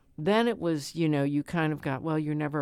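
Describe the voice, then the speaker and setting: In a very clean recording with a silent background, a woman with a St. Louis accent talks with ordinary pitch variation. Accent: St. Louis Midwestern American. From St. Louis, Missouri (South St. Louis). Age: 70s. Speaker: city alderwoman, retired school principal. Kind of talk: interview. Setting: studio. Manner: halting, many fillers and repetitions.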